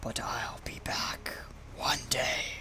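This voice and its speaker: A whispered, put-on character voice under loud background noise. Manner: menacing.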